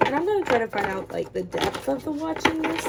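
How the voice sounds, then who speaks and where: A woman rushes through her words at a very fast pace while noticeable background noise runs underneath. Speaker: tarot reader. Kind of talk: tarot reading, casual. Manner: casual, filler-heavy.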